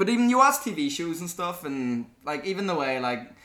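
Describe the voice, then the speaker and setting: This voice has a bright, sharp tone and very wide pitch swings, with a Belfast accent. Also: man. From Northern Ireland, Belfast. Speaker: podcast host, university student. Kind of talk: casual chat.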